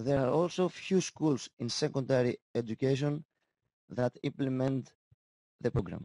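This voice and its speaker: This man talks at a moderate pace, medium in pitch with ordinary pitch variation. He speaks with a Greek accent. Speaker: school teacher. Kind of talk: conference presentation. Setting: conference session. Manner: halting.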